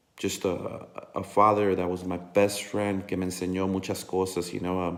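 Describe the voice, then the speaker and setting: A man talks in a very deep, low pitch at a fairly slow pace. Audible room echo is present. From National City, San Diego area, California. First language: Spanish. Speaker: Chicano rapper. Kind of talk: casual monologue to camera. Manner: halting, many fillers.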